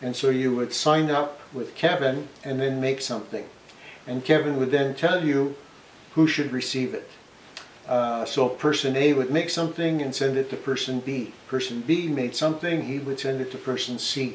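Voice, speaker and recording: There is audible room echo and light background noise behind this man. He talks at a moderate pace with fairly even intonation. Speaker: woodworking channel host. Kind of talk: casual vlog chat. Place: workshop. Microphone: camera far.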